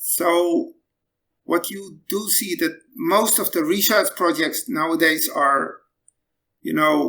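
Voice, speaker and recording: The speech has a Dutch accent. The pace is very slow. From Netherlands. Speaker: battery scientist. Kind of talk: interview.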